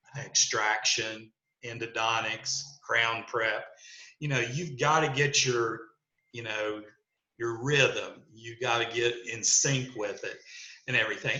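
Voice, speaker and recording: Audible room echo surrounds this man. He talks at a fairly slow pace. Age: 60s. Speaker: dentist. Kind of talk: podcast interview. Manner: conversational, many fillers.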